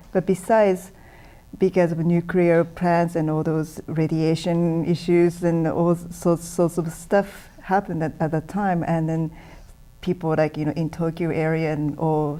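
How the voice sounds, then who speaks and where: A woman speaks with a Japanese accent in a dark, mellow tone. Her delivery is fairly slow, with monotone, flat intonation. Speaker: musician. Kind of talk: interview.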